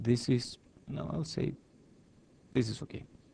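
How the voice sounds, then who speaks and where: With lively intonation and vocal fry, a man talks at a medium pitch in a dark, mellow tone. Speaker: engineering lecturer. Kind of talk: lecture.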